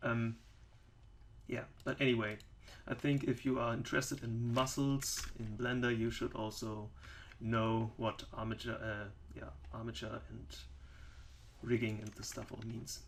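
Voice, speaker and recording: Speaking in a German accent, a man goes at a fairly slow pace with long, frequent pauses and big swings in loudness. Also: medium pitch for a man, fairly even intonation. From Germany. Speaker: 3D software developer and tutorial maker. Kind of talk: tutorial. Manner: halting, many fillers.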